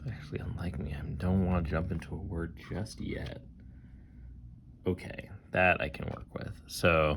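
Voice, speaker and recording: Audible room echo surrounds a man with a very deep, low pitch and vocal fry. He talks at a moderate pace with ordinary pitch variation and long, frequent pauses. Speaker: board game designer. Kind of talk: let's play commentary. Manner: casual, thinking aloud.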